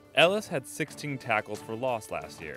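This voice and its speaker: A man speaks at a fairly quick pace with very wide pitch swings while music plays in the background. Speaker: sports broadcaster. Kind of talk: sports feature voiceover.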